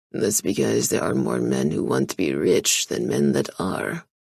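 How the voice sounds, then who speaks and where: A man's put-on character voice, raspy and gruff, very deep and low, with lively intonation at a moderate pace. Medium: read story. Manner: curt.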